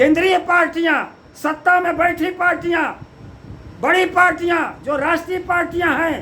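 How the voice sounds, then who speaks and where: Projecting a raised voice, a man speaks at an extremely high pitch. Room echo is audible. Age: 70s. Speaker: politician, party president. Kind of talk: political commentary monologue.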